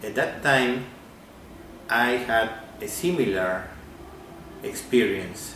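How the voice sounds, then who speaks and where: A man with a Peruvian accent at a very slow pace, medium in pitch, with lively intonation and long, frequent pauses, amid noticeable background noise and audible room echo. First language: Spanish. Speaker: amateur physics theorist. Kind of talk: video message. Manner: halting.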